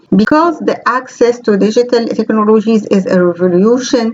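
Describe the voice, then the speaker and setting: Noticeable background noise sits behind a woman's fairly high voice. She speaks at a moderate pace. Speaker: computer science researcher. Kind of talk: conference talk. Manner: formal.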